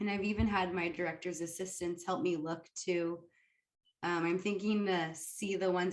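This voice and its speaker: The speaker keeps a moderate pace and a fairly even intonation. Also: woman. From California, Fresno. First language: Arabic. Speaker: dietetic intern. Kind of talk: interview.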